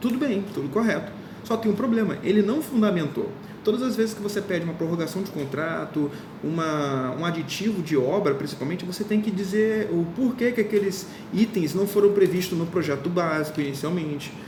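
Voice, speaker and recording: Noticeable background noise runs underneath. The speaker goes at a fairly quick pace. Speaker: law course teacher. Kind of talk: lecture. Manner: fast; informal.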